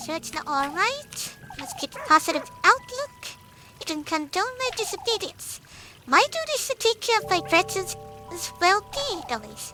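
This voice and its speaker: Over clear background music, someone delivers lines in a put-on character voice at a moderate pace. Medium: game stream. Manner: measured, pastoral.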